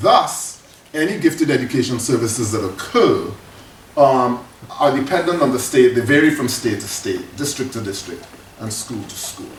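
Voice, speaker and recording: Noticeable background noise and audible room echo fill the recording. Pitch varies in an ordinary way while loudness swings widely. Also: man, medium pitch for a man. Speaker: professor. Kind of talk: lecture. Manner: fast.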